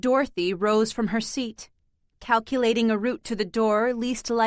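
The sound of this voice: An unforced reading voice, fairly even intonation, quiet background.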